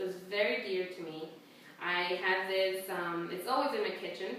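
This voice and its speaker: A woman with a Spanish accent talks amid noticeable background noise and audible room echo. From El Salvador, moved to Houston as a child. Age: 20s. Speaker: student. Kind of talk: class speech with show-and-tell objects. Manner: hesitant with frequent fillers.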